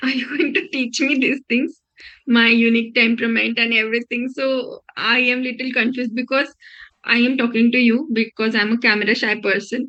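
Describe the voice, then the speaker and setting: A woman speaks at a fairly quick pace with a Marathi accent, her high voice bright and sharp in tone and her intonation fairly even. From Maharashtra, India. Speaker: healer, prospective client. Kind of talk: sales call. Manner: halting.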